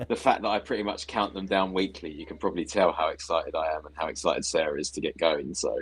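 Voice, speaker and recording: Someone with an English accent talks at a very fast pace, with hardly any pauses. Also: man. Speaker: Disney fan and YouTuber. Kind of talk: casual chat. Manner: animated.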